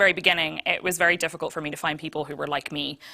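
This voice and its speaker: A woman's bright, sharp tone comes through a very clean recording with a silent background, her pitch fairly low and its variation ordinary. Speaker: streamer. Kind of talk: panel discussion. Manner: loud.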